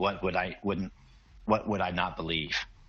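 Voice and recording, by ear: Using a put-on character voice, a man speaks at a moderate pace with a very deep, low pitch and monotone, flat intonation.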